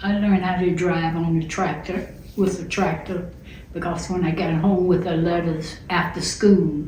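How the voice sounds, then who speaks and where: A woman's fairly low, monotone voice with flat intonation, amid noticeable background noise and audible room echo. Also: moderate pace. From US South, rural southwest Georgia. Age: 70s. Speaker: interviewee telling her family story. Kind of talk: oral history interview.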